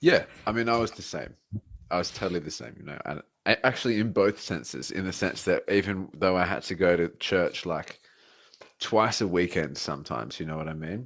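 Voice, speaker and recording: Against a quiet background, a man with an Australian accent talks at a fairly quick pace in a very deep, low pitch, with lively intonation and vocal fry. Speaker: atheist debater. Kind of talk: casual chat. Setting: live stream.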